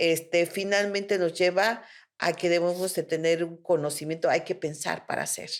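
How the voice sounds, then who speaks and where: In a Mexican accent, a woman speaks at a moderate pace with monotone, flat intonation on a very clean recording with a silent background. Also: fairly low pitch for a woman. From Mexico. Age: 60s. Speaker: spiritual therapist. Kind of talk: interview conversation.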